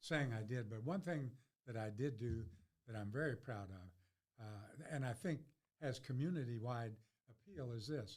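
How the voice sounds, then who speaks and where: Somewhat breathy, a man speaks at a moderate pace and medium pitch, with lively intonation. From Kentucky, Louisville. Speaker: lawyer. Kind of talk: casual chat. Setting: studio.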